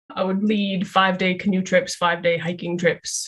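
At a fairly slow pace, a woman speaks in a medium pitch, her voice somewhat breathy. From Canada, Calgary. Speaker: social work lecturer and researcher. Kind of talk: interview.

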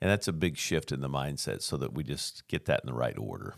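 A man with an American accent speaks with a very deep, low pitch and vocal fry. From US Pacific Northwest. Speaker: recovery ministry worker. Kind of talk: testimony.

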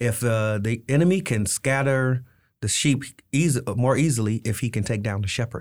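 Over a very clean recording with a silent background, a man with an unremarkable speaking voice talks at a moderate pace and medium pitch, with ordinary pitch variation. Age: 50s. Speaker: pastor. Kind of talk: interview. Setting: studio.

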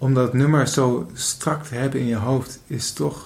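A somewhat breathy quality marks this man's voice. His pitch is medium. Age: 20s. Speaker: podcast host. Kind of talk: casual chat. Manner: halting.

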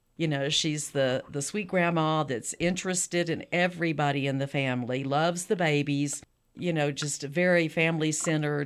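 A woman speaks in a Texan accent with a very deep, low voice. Her pitch moves in an ordinary way, and the recording is very clean against a silent background. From South Texas. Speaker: author. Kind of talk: interview.

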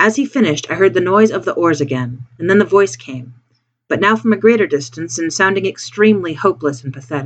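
An unforced reading voice over a quiet background

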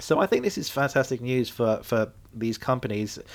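A man of medium pitch with a British accent. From UK. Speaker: podcast host and airline pilot. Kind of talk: solo podcast monologue.

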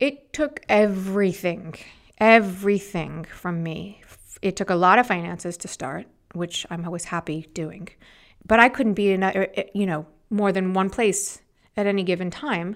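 A woman with a Californian accent, medium pitch, ordinary pitch variation, big swings in loudness and a moderate pace, in a very clean recording with a silent background. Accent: Californian American. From Los Angeles, US. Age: 40s. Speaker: beauty entrepreneur. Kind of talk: interview. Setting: studio.

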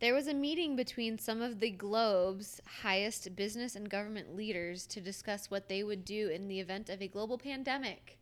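A woman speaks in an ordinary speaking voice at a fairly quick pace, with medium pitch, ordinary pitch variation and hardly any pauses. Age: 20s. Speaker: podcast co-host. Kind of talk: casual chat.

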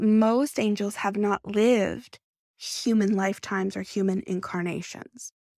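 At a fairly slow pace, a woman speaks with a fairly high pitch and a warm, relaxed yet dark, mellow tone. The sound is dry and close with no echo, on a very clean recording with a silent background. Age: 40s. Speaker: podcast host and medium. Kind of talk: solo spiritual talk.

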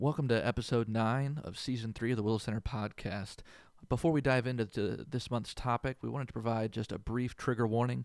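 A man with an ordinary speaking voice talks at a medium pitch. His pace is fairly quick. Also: fairly even intonation. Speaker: podcast host. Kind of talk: podcast interview discussion.

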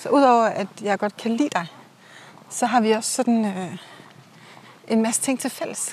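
With long, frequent pauses, a woman speaks at a fairly slow pace in a somewhat breathy, fairly high voice with ordinary pitch variation. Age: 40s. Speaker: host's friend. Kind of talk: casual chat. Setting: outdoors.

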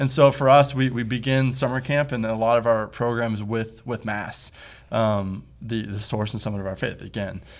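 Speaking with a Midwestern American accent, a man uses a medium pitch, a fairly quick pace and fairly even intonation. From US Midwest (Toledo, Ohio). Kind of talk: casual interview.

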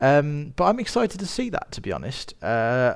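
This man speaks at a moderate pace with a Birmingham accent. The recording is very clean, with a silent background. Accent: Birmingham (Brummie). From Birmingham, England. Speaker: podcast host and filmmaker. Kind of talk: solo podcast monologue on film news. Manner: casual with frequent fillers.

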